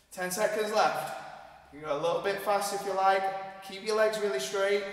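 A man speaks with a high pitch. Audible room echo surrounds his voice. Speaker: fitness instructor. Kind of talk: workout instruction. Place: gym.

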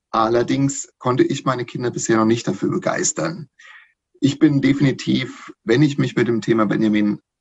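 The voice is somewhat breathy, with lively intonation at a fairly quick pace. The background is quiet. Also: man. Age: 40s. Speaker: podcast guest, hobby fan; podcast guest. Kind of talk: casual chat. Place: home room. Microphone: video call.

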